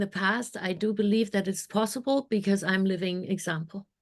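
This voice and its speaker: A woman with a German accent talks at a moderate pace against a quiet background. Her intonation is monotone and flat. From Germany. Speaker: mindset coach. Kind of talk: podcast interview.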